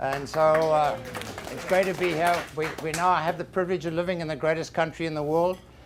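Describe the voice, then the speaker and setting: Over noticeable background noise, a man speaks at a fairly quick pace with a fairly high pitch and monotone, flat intonation. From South Africa. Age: 60s. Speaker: financial planner, small businessman. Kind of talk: business seminar presentation.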